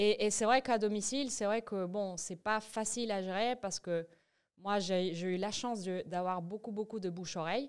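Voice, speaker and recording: On a very clean recording with a silent background, a woman speaks at a moderate pace in a Spanish accent. Her medium-pitched voice keeps fairly even intonation. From Venezuela (Caracas). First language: Spanish (speaking French). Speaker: entrepreneur, massage business founder. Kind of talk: podcast interview. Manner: hesitant, many fillers and restarts.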